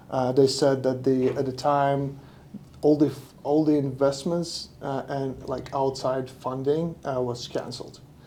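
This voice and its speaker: A man with a medium pitch and a dark, mellow tone speaks in a monotone with flat intonation. His pace is fairly slow, and the room echo is audible. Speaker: painting business owner. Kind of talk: podcast interview. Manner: halting, many fillers.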